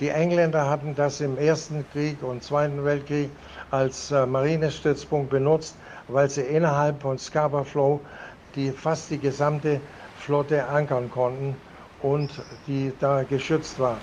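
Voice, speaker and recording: Fairly slow and monotone, a man speaks with flat intonation. His pitch is fairly high. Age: 80s+. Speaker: retired merchant sailor. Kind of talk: interview. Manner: halting.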